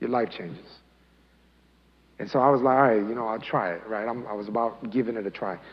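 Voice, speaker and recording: With a Spanish accent, a man speaks at a fairly quick pace and with ordinary pitch variation. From Colombia, raised in US from age eight. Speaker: imam. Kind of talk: talk to youth, personal testimony. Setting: mosque, youth audience. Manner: casual, conversational.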